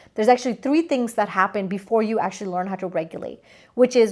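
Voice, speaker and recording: A woman's animated, fairly high voice with lively intonation and a non-native accent, on a very clean recording with a silent background. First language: not English. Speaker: spiritual coach. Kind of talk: energy forecast talk to camera. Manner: casual, animated.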